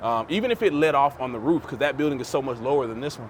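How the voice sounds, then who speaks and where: This is a man speaking at a fairly high pitch. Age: 30s. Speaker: vlogger. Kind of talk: casual vlog talk to camera. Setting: outdoors on apartment rooftop. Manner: fast.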